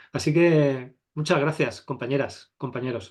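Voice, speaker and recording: Medium in pitch and moderate in pace, a man speaks in an unremarkable speaking voice. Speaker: photography teacher. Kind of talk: online masterclass.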